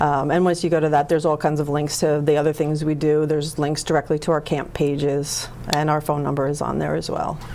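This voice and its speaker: A woman's very deep, low voice, very fast and flat in intonation, with hardly any pauses and noticeable background noise. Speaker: nonprofit executive. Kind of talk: interview.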